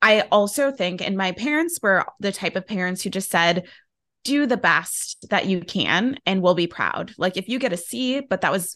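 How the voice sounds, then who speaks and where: A woman with a normal speaking voice talks at a moderate pace, medium in pitch, with lively intonation. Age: 30s. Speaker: self-care and personal development coach, author. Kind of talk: interview conversation.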